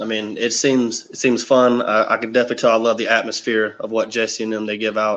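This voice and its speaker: A man with a slight Southern US accent. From US South, South Carolina near Myrtle Beach. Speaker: karate fighter. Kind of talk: interview answers. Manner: hesitant, many fillers.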